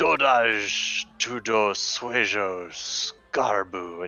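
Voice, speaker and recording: A man puts on a character voice, pitched fairly low and delivered at a very slow pace. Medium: actual play.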